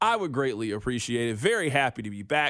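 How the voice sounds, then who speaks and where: A man in a normal speaking voice, fairly quick and lively in intonation, on a very clean recording with a silent background. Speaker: sports radio host. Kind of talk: sports talk radio.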